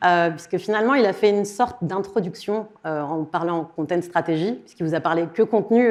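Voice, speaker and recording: This woman talks at a fairly quick clip, her pitch varying in an ordinary way. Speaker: content designer giving a conference talk. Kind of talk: conference talk. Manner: fast.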